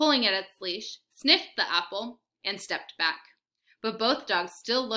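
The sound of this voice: An unforced reading voice is set against a quiet background.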